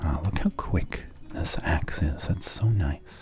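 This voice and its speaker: Someone whispers, soft-spoken, at a very slow pace. Music plays in the background. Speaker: let's play gamer. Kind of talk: relaxed gameplay commentary. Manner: soft, whispered.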